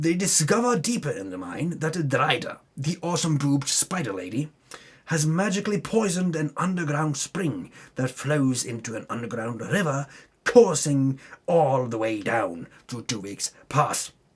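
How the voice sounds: A man performs a put-on character voice, fairly high-pitched with a slightly husky edge. He takes a fairly slow pace with big pitch swings.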